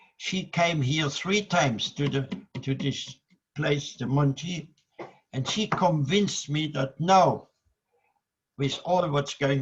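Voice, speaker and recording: A man speaks very slowly in a somewhat breathy voice, fairly high in pitch with ordinary pitch variation. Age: 100. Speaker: Holocaust survivor, author, guest speaker. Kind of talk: oration / public speech to an audience.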